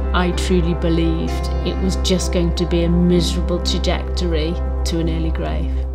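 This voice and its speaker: A woman keeps a moderate pace while music sounds clearly in the background. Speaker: lung cancer patient. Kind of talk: interview answer. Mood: determined, hopeful, reflective. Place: home room.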